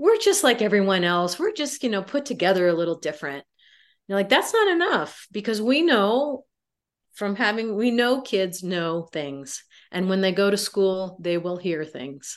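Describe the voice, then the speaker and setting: Against a quiet background, a woman uses an ordinary speaking voice at medium pitch, with lively intonation and a moderate pace. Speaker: adoption researcher and sociology professor. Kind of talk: interview.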